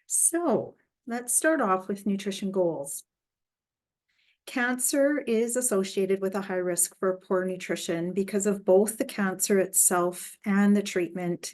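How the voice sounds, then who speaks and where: A woman speaks in a normal speaking voice at a medium pitch, with ordinary pitch variation. Her pace is fairly slow, and the background is quiet. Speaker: dietitian giving talk. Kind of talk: lecture.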